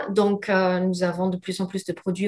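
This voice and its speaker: A woman at medium pitch speaks with a slight non-native accent. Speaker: lab representative presenting products to naturopaths. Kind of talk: webinar product presentation. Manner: clear; hesitant, many fillers.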